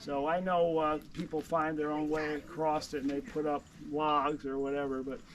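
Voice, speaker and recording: Fairly high in pitch, a man talks in a New York accent with fairly even intonation. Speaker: tour guide. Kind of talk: guided walking tour talk. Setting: outdoors. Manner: halting, many fillers.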